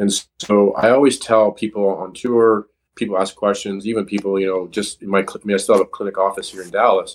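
A man with a Canadian accent talks at a fairly quick pace in a fairly low pitch. His intonation is monotone and flat, with big swings in loudness. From Canada. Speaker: chiropractor and golf fitness trainer. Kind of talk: interview.

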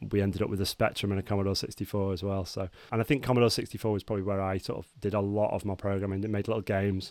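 A man with a northern English accent talks very fast in a fairly low, flat monotone, barely pausing. The recording is very clean with a silent background. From northern England, Cheshire. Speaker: software engineering team lead. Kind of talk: casual chat.

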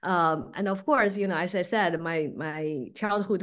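A woman with a Beijing accent talks at a fairly low pitch and a fairly slow pace. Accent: Mandarin Chinese (Beijing) accent in English. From Beijing, China. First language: Mandarin Chinese. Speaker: packaging business owner. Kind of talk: interview. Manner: hesitant, many fillers.

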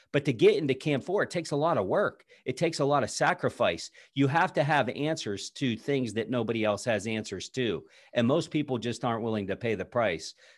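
The speaker has an American accent, an energetic tone and lively intonation, moving at a fairly quick pace. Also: man, medium pitch for a man, quiet background. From southwestern Pennsylvania. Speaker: Army veteran, speaker, coach, podcast host. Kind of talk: interview answers, motivational pep talk. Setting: podcast interview. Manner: energetic, emphatic, motivational.

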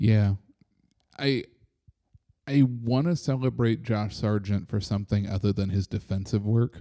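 A man speaks at a fairly low pitch with a dark, mellow tone, ordinary pitch variation, a fairly slow pace and long, frequent pauses. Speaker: soccer supporters podcast host. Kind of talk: casual chat. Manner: loud.

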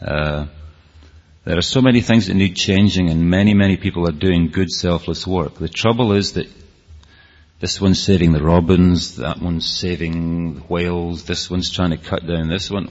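A man speaks with a Scottish accent at a very deep, low pitch. His intonation is fairly even. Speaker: speaker on rave culture. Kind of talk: talk to an audience. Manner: fast.

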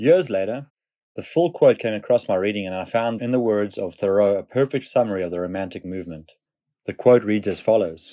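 Very clean recording with a silent background: a man with a fairly low pitch and a dark, mellow tone, fairly quick pace and ordinary pitch variation. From South Africa. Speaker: essay author. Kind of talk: reading aloud.

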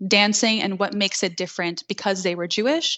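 Speaking with an American accent, this voice has ordinary pitch variation and is an unremarkable speaking voice. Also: woman. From New York City, Queens. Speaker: belly dance instructor. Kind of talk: interview.

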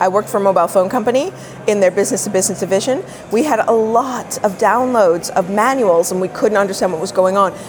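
A woman talks at a very fast pace in a medium pitch. Noticeable background noise can be heard. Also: ordinary pitch variation. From Canada, Toronto. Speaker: digital marketing consultant. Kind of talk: interview.

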